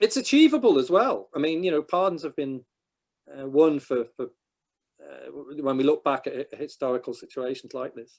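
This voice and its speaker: Fairly high-pitched man with a northwest English accent, moderate pace, very clean recording with a silent background. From England, northwest. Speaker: historian. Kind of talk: Q&A after a talk.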